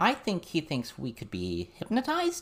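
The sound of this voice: This put-on character voice moves at a fairly slow pace with very wide pitch swings.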